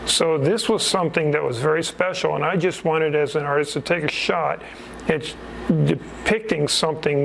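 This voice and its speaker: A man's fairly high voice at a moderate pace, with ordinary pitch variation, very even loudness and noticeable background noise. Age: 60s. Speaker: painter and wood carver. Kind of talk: interview. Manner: halting, with fillers.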